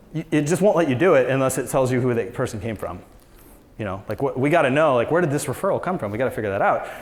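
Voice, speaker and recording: A man with an American accent talks at a very fast pace in an animated tone. His intonation is lively, and there is audible room echo. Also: medium pitch for a man. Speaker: real estate business owner, conference speaker. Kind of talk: conference talk.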